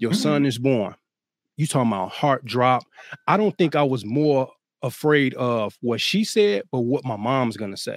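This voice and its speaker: A man talks at a moderate pace with a medium pitch and lively intonation, in an unremarkable speaking voice. The sound is dry and close, with no echo. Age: 30s. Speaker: co-parenting coach and speaker. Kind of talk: casual chat.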